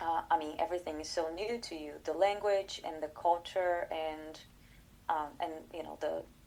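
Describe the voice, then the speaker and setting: A woman's fairly low, dark, mellow voice in a Portuguese accent, with fairly even intonation, big swings in loudness and a moderate pace. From Brazil. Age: 30s. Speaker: collaborative pianist and professor. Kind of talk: interview conversation. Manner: halting, many fillers.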